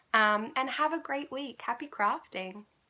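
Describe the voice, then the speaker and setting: In an Australian accent, a woman speaks at a moderate pace with a high pitch, a bright, sharp tone, and lively intonation. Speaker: knitting podcaster. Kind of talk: casual podcast monologue. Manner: quiet; hesitant, many ums.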